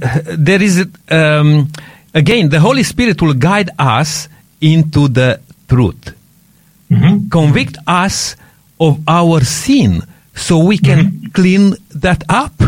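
The speaker has a non-native accent and talks at a very slow pace with long, frequent pauses. Pitch variation is ordinary. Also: man, fairly high pitch for a man. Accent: foreign-accented English. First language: not English. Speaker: radio host. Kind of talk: radio discussion, religious talk. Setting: radio studio.

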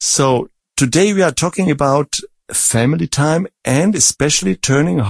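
In a German accent, a man with a fairly high pitch talks at a fairly slow pace, his pitch swinging very widely, in a dry, close sound with no echo. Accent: German-flavored English. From Germany, born in Czech Republic. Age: 50s. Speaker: Bible study moderator. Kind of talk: Bible study discussion.

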